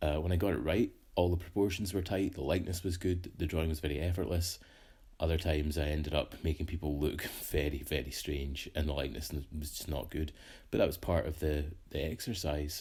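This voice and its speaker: The tone is dark and mellow and somewhat breathy, delivered at a fairly quick pace with fairly even intonation. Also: man, very deep, low pitch for a man. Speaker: artist. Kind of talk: casual talk to camera.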